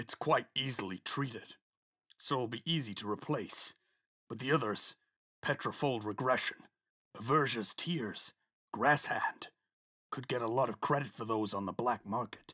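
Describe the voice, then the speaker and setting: Over a silent background in a very clean recording, a man does a put-on character voice at medium pitch, moving at a moderate pace with long, frequent pauses. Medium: audio drama. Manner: formal, weary.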